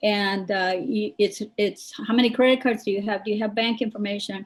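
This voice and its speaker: Somewhat breathy delivery with fairly even intonation. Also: woman. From United States, Mexican immigrant family. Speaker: real estate professional. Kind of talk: panel discussion. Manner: hesitant, many fillers and restarts.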